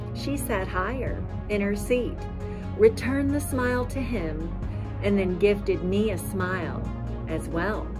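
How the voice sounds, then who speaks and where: A woman with an American accent at a very slow pace, clear music in the background. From Indiana, US Midwest. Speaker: poet. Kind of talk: poetry reading. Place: open country. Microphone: phone near.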